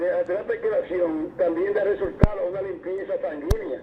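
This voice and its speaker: A man keeps up a fairly quick pace while noticeable background noise fills the recording. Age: 60s. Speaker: caller. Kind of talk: phone call-in chat. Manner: halting. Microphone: bad connection.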